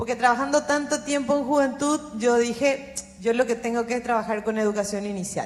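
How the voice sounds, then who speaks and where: Her pitch is high, with ordinary pitch variation. The woman keeps a moderate pace. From Paraguay. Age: 40s. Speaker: youth policy consultant. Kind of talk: panel discussion.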